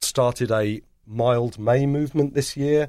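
The speaker has an English accent. The pitch shows ordinary variation. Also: man. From England. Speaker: head brewer. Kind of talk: casual chat.

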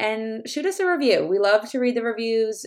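An ordinary speaking voice from a woman with a Canadian accent, at a moderate pace with ordinary pitch variation, on a very clean recording with a silent background. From Canada. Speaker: podcast host. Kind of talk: casual interview.

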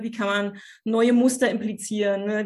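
At a moderate pace, a woman speaks in a fairly high pitch with monotone, flat intonation. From eastern Germany, Cottbus. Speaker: social worker and family coach. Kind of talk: interview.

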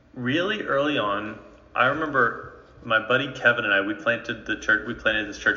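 A man's medium-pitched voice at a moderate pace, ordinary pitch variation, noticeable background noise. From North Jersey, Bergen County. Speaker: ministry training leader. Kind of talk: interview.

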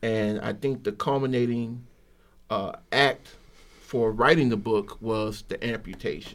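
Using a normal speaking voice, a man talks at a fairly slow pace with fairly even intonation. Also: medium pitch for a man. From Chicago, South Side. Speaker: author. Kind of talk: radio interview.

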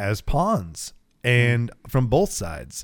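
The recording is very clean and the background silent. The man talks with an American accent. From US, small town. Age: 30s. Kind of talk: casual chat. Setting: home garage.

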